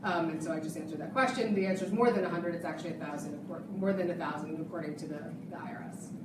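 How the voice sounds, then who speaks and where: Over noticeable background noise and audible room echo, a woman with a medium pitch talks at a very fast pace. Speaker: nonprofit founder and speaker. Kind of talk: presentation to an audience.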